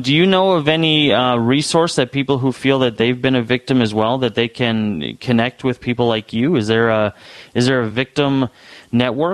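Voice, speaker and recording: Against a quiet background, a man talks at a moderate pace in a medium pitch, with ordinary pitch variation and very even loudness. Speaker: radio talk show host. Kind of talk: radio talk show hosting. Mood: calm, measured. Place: studio. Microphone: studio mic.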